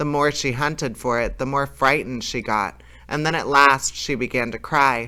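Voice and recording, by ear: The reading aloud uses a natural voice and fairly even intonation.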